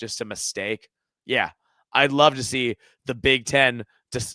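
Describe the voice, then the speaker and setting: A man with an animated, bright, sharp tone. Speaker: sports podcaster. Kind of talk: casual chat.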